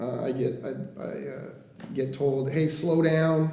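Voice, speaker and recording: A man with an American accent speaks at a fairly high pitch. Audible room echo and noticeable background noise surround his voice. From Oregon coast (Coos Bay). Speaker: mortgage lender. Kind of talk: podcast interview. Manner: fast; casual, frank.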